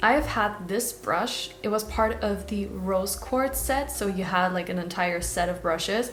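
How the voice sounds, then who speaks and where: Speaking at a moderate pace with a non-native accent, a woman is heard through noticeable background noise and audible room echo. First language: not English. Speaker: beauty vlogger. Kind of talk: product review. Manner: casual, chatty.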